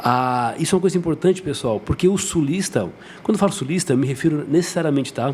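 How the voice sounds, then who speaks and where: A man at a very fast pace, fairly high in pitch. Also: ordinary pitch variation. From southern Brazil, Santa Catarina (Jaguaruna, south coast). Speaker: dentist. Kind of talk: podcast interview.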